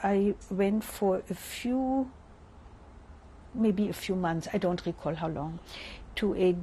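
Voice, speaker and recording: A woman with a German accent speaks at a very slow pace, leaving long, frequent pauses. Her medium-pitched voice is somewhat breathy, with a dark, mellow tone and ordinary pitch variation. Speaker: Holocaust survivor. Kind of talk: interview answer.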